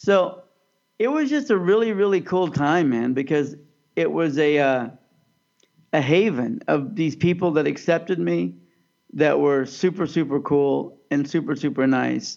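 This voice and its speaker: A man with an ordinary speaking voice talks at a moderate pace, his fairly high pitch carrying lively intonation. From US Midwest, Overland Park, Kansas. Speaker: podcast co-host. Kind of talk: casual chat.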